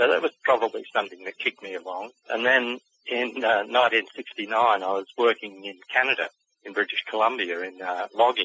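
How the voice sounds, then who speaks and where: In an Australian accent, a man talks at a fairly quick pace. His intonation stays fairly even. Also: medium pitch for a man, big swings in loudness. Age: 60s. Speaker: author and cryptid researcher. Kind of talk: interview. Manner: halting.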